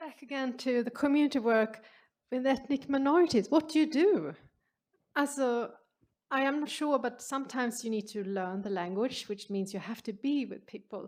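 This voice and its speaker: Speaking with a Swedish accent, a woman uses a high pitch and lively intonation at a moderate pace. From Sweden. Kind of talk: Q&A answer at symposium.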